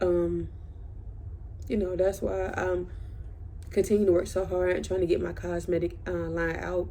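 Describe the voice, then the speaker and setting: A whispering woman with long, frequent pauses, in audible room echo. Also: moderate pace. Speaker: vlogger. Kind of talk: casual chat. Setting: bedroom at night.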